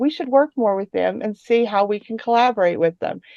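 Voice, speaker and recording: Speaking with an American accent, a woman talks at a very fast pace with lively intonation. The sound is dry and close, with no echo. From West Virginia. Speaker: tech company open source program staff. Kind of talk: conference talk.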